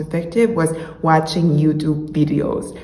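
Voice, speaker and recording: Room echo can be heard, along with noticeable noise behind the voice. The delivery is fairly slow. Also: woman. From Mexico, Monterrey. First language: Spanish. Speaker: YouTuber, language learner. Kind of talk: casual vlog talk.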